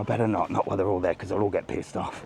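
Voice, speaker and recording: A man speaks at a fairly low pitch with fairly even intonation over noticeable background noise. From England, Birmingham. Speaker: travel vlogger. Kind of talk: live walking vlog. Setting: outdoors, walking the streets. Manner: casual, chatty.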